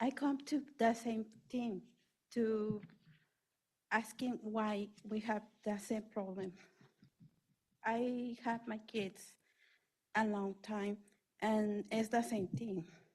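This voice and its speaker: With a non-native accent, the speaker goes at a very slow pace, somewhat breathy, with long, frequent pauses. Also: woman. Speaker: parent giving public comment. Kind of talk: public comment. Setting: school board meeting. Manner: halting.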